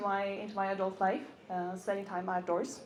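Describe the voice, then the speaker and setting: Audible room echo surrounds a woman who talks at a fairly quick pace. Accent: Norwegian. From Norway. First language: Norwegian. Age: 30s. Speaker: motorcycle content creator. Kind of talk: stage talk. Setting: stage with audience. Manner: halting.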